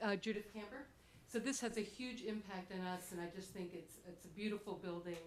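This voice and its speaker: With an American accent, the speaker goes at a very fast pace with ordinary pitch variation, amid audible room echo and noticeable background noise. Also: woman. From New Jersey. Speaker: resident speaking at public meeting. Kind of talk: public comment at town meeting. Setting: town board meeting. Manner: loud.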